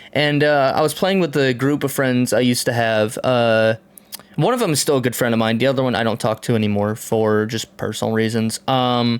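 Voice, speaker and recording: Speaking at a fairly quick pace, a man with a medium pitch and ordinary pitch variation keeps his loudness very even over noticeable background noise. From Tennessee. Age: 30s. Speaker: podcast host. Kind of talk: casual chat.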